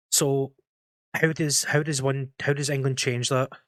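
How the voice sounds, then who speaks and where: A man's fairly high-pitched voice in a Scottish accent, fairly quick and monotone, flat in intonation, with a dry, close sound and no echo. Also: very clean recording, silent background. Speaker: football podcast host, tactics analyst. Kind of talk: tactical breakdown segment; casual panel discussion. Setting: live-streamed podcast.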